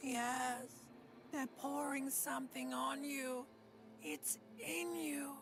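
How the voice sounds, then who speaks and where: Using a put-on character voice, a woman speaks at a very slow pace with long, frequent pauses against clear background noise. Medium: video game. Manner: contemptuous.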